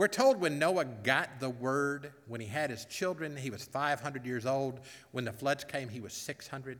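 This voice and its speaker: A man speaks at a moderate pace and medium pitch, with ordinary pitch variation and a plain, everyday voice. The recording is very clean, with a silent background. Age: 50s. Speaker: pastor. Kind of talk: sermon.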